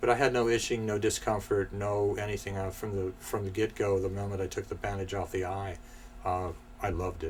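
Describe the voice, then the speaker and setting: Flat, monotone delivery moves at a fairly quick pace over noticeable background noise. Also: man, fairly low pitch for a man. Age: 60s. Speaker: film editor and teacher. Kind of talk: interview testimony. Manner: hesitant, many filler words.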